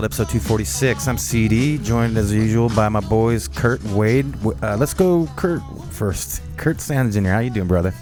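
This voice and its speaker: A man's fairly low voice in a relaxed tone at a moderate pace, with very wide pitch swings and hardly any pauses, over music in the background. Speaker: podcast host. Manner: casual, relaxed.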